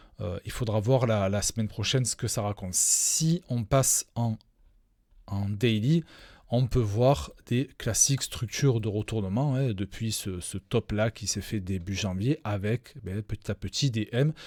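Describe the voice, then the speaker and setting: A man at a fairly slow pace, fairly low in pitch, with ordinary pitch variation. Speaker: crypto trading educator. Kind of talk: live stream chart analysis. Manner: hesitant, many fillers.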